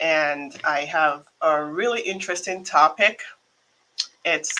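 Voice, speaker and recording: A woman with a Nigerian accent, fairly low-pitched, fairly even in intonation and fairly slow in pace. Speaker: immigration attorney. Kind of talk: live stream talk. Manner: casual, many fillers.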